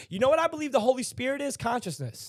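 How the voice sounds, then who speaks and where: A man speaks at a very fast pace. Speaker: livestream host. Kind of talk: casual chat. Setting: live stream.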